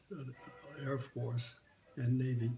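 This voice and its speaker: In an American accent, a man with medium pitch and a somewhat breathy voice speaks at a moderate pace with monotone, flat intonation. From San Diego, California. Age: 80s+. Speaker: WWII Navy veteran. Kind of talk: oral history interview answer.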